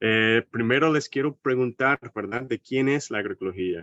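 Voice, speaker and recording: Speaking with an American accent, the man keeps a moderate pace. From United States. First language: English (speaking Spanish). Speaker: agroecology researcher. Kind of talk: seminar lecture. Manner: hesitant, with fillers.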